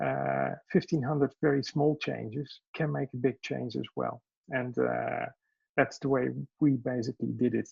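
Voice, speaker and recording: With a Dutch accent, a man speaks at a moderate pace. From Netherlands. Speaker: education business owner. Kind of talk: self-introduction in online meeting. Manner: halting, many fillers.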